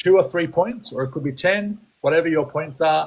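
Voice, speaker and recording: A man speaks at a moderate pace with an Australian accent and ordinary pitch variation. His voice is somewhat breathy. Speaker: photography business coach. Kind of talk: live-stream coaching chat. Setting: live stream. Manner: animated; hesitant, many fillers.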